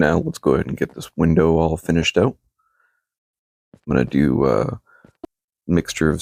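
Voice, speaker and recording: A man with a very deep, low pitch and vocal fry talks at a fairly slow pace, leaving long, frequent pauses. His tone is relaxed and his intonation lively, in a dry, close sound with no echo. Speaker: Minecraft content creator. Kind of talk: casual gameplay commentary.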